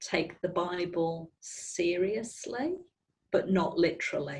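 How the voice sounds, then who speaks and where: In a Northern Irish accent, a woman speaks at a fairly low pitch, somewhat breathy, with fairly even intonation. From Belfast, Northern Ireland. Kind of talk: interview answer.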